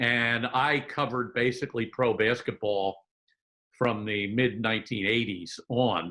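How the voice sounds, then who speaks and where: With a bright, sharp tone, a man speaks at a medium pitch in a fairly even intonation. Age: 70s. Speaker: retired sports journalist and author. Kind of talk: interview. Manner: hesitant, many fillers.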